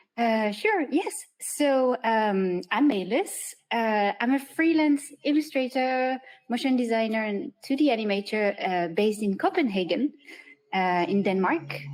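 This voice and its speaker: With a French accent, a woman speaks at a fairly slow pace, her fairly high voice carrying lively intonation. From southern France. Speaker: freelance illustrator and animator. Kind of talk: interview. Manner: hesitant, many fillers.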